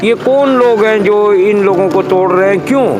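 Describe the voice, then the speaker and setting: Over noticeable background noise and audible room echo, a man speaks in a high pitch. His pitch variation is ordinary. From Pakistan, Karachi area. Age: 60s. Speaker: affected resident. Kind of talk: street interview complaint. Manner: animated.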